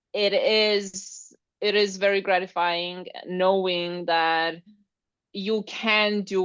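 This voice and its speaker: A woman with a non-native accent speaks at medium pitch. Her intonation is fairly even over a quiet background. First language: not English. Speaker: Pilates instructor and fitness business mentor. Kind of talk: live interview chat. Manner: halting.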